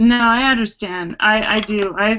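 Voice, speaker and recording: With a plain, everyday voice, a woman speaks at a fairly slow pace, at a medium pitch and with fairly even intonation. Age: 60s. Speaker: caregiver, chat participant. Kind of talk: casual group video chat. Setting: online video hangout.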